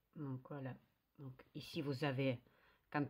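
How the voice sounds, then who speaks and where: A woman speaks very slowly in a Russian accent. The recording is very clean, with a silent background. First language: Russian (speaking French). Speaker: knitting youtuber. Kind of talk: tutorial. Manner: halting, many hesitations.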